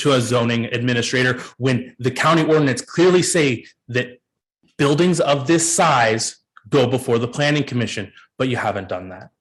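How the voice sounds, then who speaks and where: Here a man speaks in a somewhat breathy voice. His pitch varies in an ordinary way. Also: medium pitch for a man, moderate pace. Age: 30s. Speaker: public commenter at county meeting. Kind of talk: public comment speech. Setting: public meeting. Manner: impassioned.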